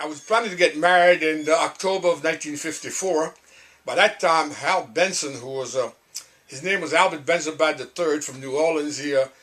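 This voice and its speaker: In a Cajun accent, a man with a fairly high voice talks at a fairly quick pace. His pitch varies in an ordinary way, and his loudness swings a lot. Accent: Cajun Louisiana English. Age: 80s+. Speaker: singer-songwriter. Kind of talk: interview storytelling. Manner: hesitant, halting.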